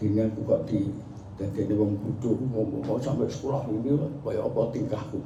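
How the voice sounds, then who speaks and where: With a Javanese accent, the speaker moves at a fairly quick pace with ordinary pitch variation, amid noticeable background noise and audible room echo. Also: man, fairly low pitch for a man. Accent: Javanese-accented Indonesian. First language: Javanese (speaking Indonesian). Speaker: Islamic cleric, founder of a dhikr group. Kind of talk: speech to a gathering.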